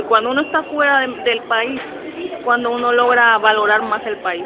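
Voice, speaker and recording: A woman talks at a fairly quick pace in a high pitch. Audible room echo and noticeable background noise surround her. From Mexico City. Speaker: migrant, graphic designer, mother. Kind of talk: interview, personal story. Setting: recorded in a public space, in person.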